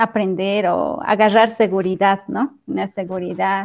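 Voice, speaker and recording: Very slow speech from a woman at a medium pitch. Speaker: church choir leader and teacher. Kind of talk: casual chat.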